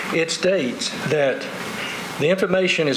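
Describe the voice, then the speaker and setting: A man with a Southern US accent, fairly high in pitch, at a fairly quick pace amid noticeable background noise. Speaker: resident speaking at public hearing. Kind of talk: public hearing testimony. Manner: fast; halting.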